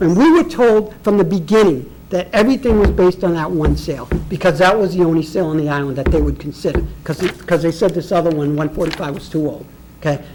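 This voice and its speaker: Over noticeable background noise, a man speaks loudly and very fast in a high pitch. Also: ordinary pitch variation. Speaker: property owner appealing assessment. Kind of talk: public hearing testimony. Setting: public board meeting. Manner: animated.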